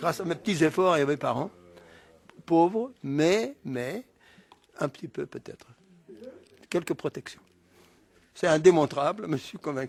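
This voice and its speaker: A man with a Breton accent and a high pitch speaks at a fairly slow pace, with long, frequent pauses and big swings in loudness, in a dry, close sound with no echo. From Brittany, France. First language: Breton (speaking French). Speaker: regional think-tank founder. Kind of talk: interview. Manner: halting.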